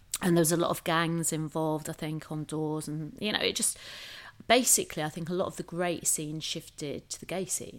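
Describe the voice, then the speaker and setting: With a northern English accent, a woman talks at a fairly quick pace, her fairly low pitch carrying fairly even intonation. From northern England. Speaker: hotel creative director and club promoter. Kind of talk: interview.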